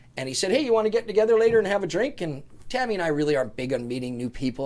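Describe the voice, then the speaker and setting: A man with a Canadian accent at a very fast pace, with very wide pitch swings. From Canada, Prince George, British Columbia. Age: 50s. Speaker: businessman and author. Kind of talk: casual interview storytelling.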